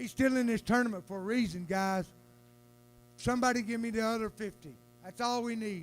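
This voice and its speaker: A man's high-pitched voice in a Southern US accent, fairly quick and animated, with ordinary pitch variation and long, frequent pauses. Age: 60s. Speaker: auctioneer. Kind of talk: live auction calling.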